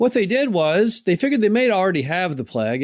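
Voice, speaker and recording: With an American accent, a man speaks with very wide pitch swings. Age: 60s. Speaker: podcast host, mobile home park investor. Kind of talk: solo podcast monologue.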